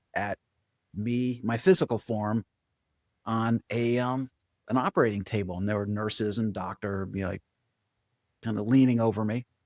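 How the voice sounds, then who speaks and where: With an American accent, a man of medium pitch speaks at a moderate pace with fairly even intonation, on a very clean recording with a silent background and a dry, close sound without echo. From Vermont, US. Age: 60s. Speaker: spiritual coach and meditation teacher. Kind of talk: podcast interview.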